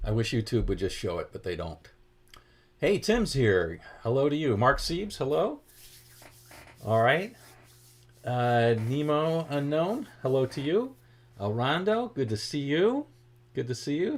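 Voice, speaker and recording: Speaking in an American accent at a fairly slow pace, a man leaves long, frequent pauses. His fairly high pitch swings very widely. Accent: Boston accent, leaks occasionally. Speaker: guitar teacher. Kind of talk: livestream guitar lesson, greeting chat viewers. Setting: live stream. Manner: casual, chatty.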